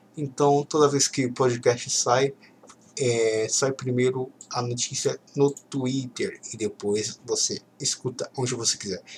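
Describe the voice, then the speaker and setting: A man talks very slowly at a medium pitch with monotone, flat intonation. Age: 20s. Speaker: football podcast host. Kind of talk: solo casual commentary reading tweets. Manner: halting.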